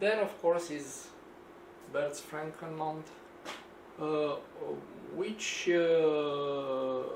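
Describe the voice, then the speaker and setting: A man with a Romanian accent speaks at a very slow pace in a fairly high pitch, leaving long, frequent pauses, while noticeable background noise and audible room echo fill the recording. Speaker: engineer and DIY video maker. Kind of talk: tutorial. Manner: halting, many fillers.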